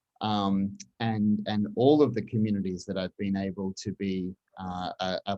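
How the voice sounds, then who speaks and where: The man's tone is dark and mellow. He speaks with an Australian accent. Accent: non-Baltimore accent (Australian). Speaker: communications executive. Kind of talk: interview conversation. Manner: halting, many repetitions.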